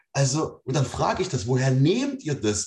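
A man with a fairly high pitch and a somewhat breathy voice swings his pitch very widely. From East Germany. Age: 40s. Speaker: podcast guest. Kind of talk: casual chat.

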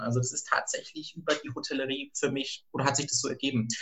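Through noticeable background noise, a man talks very fast at a fairly high pitch with monotone, flat intonation. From rural Germany. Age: 30s. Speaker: HR recruiter, former hotel worker. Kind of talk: interview.

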